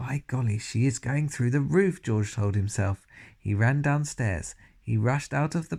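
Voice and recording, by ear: The passage is read aloud in a natural voice.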